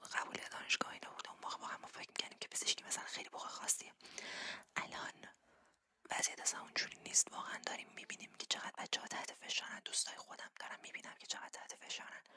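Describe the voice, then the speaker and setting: A woman whispers at a very fast pace, her loudness swinging widely. The sound is dry and close with no echo. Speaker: ASMR creator. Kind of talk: ASMR storytelling, personal anecdotes. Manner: whispered, soft-spoken.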